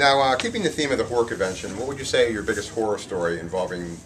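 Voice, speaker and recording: Noticeable background noise sits behind a man's voice. He talks at a medium pitch and a very fast pace. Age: 40s. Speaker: interviewer, metal show host. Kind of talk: casual interview. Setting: horror convention.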